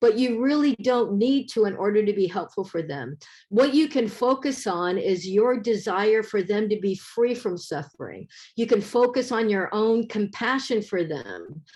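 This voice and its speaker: With an American accent, the speaker moves at a moderate pace with ordinary pitch variation over a quiet background. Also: woman. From US West Coast, San Francisco Bay Area. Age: 60s. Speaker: professor, keynote speaker. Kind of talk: conference keynote presentation. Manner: hesitant, many fillers.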